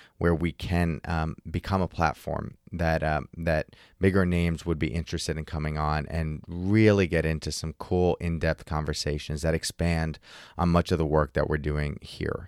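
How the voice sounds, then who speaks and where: On a very clean recording with a silent background and a dry, close sound with no echo, a man speaks at a moderate pace in a very deep, low voice with monotone, flat intonation. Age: 30s. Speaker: podcast host. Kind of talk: solo podcast monologue. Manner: halting.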